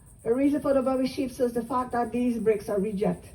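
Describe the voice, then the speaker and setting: In a Southern US accent, a woman talks at a fairly quick pace with a somewhat breathy, dark, mellow tone and ordinary pitch variation. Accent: Gullah Geechee, Southern US. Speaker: Gullah culture presenter and storyteller. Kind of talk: live history talk to visitors. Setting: outdoors. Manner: engaging, conversational, asks audience questions.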